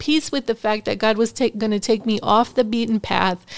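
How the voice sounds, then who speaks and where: In an ordinary speaking voice, a woman talks at a moderate pace with fairly even intonation and a fairly high pitch. The sound is dry and close, with no echo. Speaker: ministry school founder, teacher. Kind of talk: casual interview.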